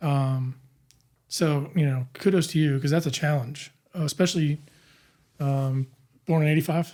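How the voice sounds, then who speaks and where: A man with a fairly high, somewhat breathy voice and a dark, mellow tone speaks at a moderate pace. His intonation is fairly even, with long, frequent pauses. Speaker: podcast host. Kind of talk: interview conversation. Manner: frequent filler words, hesitant.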